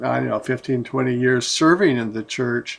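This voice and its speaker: The man's pitch moves up and down in an ordinary way. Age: 70s. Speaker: pastor. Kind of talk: casual chat. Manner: halting.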